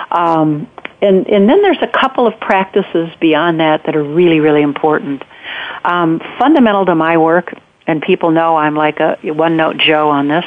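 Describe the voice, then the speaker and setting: Moderately paced speech in an American accent, with very even loudness, ordinary pitch variation and noticeable background noise. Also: woman, fairly low pitch for a woman. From United States. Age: 60s. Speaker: retreat leader and author. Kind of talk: interview. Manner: hesitant, many fillers.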